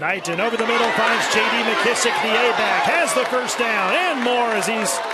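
Lively intonation at a moderate pace comes through noticeable background noise. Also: man. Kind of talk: live sports commentary, play-by-play. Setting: stadium broadcast booth. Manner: clipped, punchy delivery with crisp short calls.

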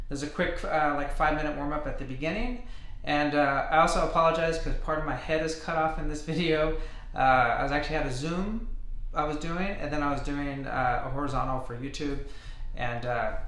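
Ordinary pitch variation from a man at a fairly quick pace, with audible room echo. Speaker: fitness trainer. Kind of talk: casual intro to a workout video. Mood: friendly, relaxed. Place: home room. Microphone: webcam.

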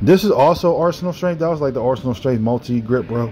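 A fairly quick pace over faint music in the background. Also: man. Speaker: fitness channel host. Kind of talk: commentary. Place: home room.

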